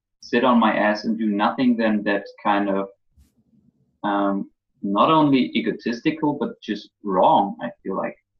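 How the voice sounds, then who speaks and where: A man with a German accent at a fairly slow pace. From Germany. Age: 20s. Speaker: college drop-out content creator. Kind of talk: casual interview.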